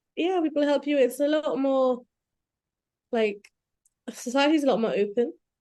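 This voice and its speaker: With a dark, mellow tone and high pitch, a woman speaks at a moderate pace with lively intonation, very even loudness, and long, frequent pauses. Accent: British. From UK and Sri Lanka. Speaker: doctor. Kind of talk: casual chat.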